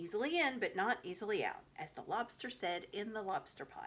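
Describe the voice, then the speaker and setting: A put-on character voice, female-sounding and croaky, runs at a fairly quick pace in a fairly high pitch. Its pitch swings very widely. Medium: read story. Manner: sententious, quotes proverbs.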